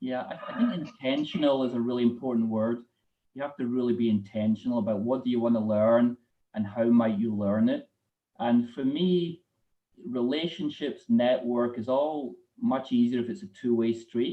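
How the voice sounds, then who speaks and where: Ordinary pitch variation runs through a man's medium-pitched voice with a Scottish accent. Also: moderate pace. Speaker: corporate treasurer. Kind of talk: live interview.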